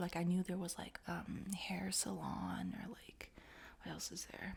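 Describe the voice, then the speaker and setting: A woman is soft-spoken. She talks at a moderate pace. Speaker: ASMR creator. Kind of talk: casual Q&A rambling.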